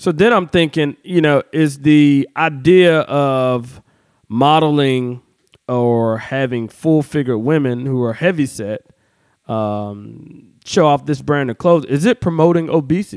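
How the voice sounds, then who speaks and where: Speaking at a fairly slow pace, a man uses a fairly high pitch with ordinary pitch variation, the sound dry and close with no echo. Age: 30s. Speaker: podcast host and DJ. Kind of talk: casual chat. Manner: animated.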